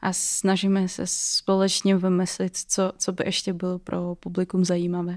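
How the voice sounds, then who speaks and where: In a Russian accent, a woman speaks at a fairly slow pace with hardly any pauses, a medium pitch and monotone, flat intonation, on a very clean recording with a silent background. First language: Russian (speaking Czech). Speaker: student and startup co-founder. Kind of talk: interview.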